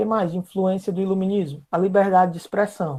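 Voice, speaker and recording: Her voice sits at a medium pitch with a dark, mellow tone. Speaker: history teacher. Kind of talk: online class lecture. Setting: live video class with chat. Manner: casual, conversational.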